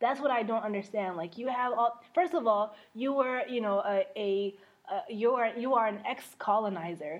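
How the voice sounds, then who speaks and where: Here a woman talks with lively intonation at a moderate pace. Her pitch is fairly high. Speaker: podcast co-host. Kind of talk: casual chat with code-switching. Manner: animated, joking.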